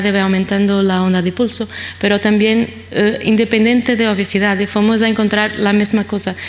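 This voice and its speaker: With a Portuguese accent, a woman talks at a medium pitch and a fairly quick pace. Her intonation is monotone and flat over noticeable background noise. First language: Portuguese (speaking Spanish). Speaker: pediatric nephrologist. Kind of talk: conference lecture. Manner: fast; hesitant, many fillers.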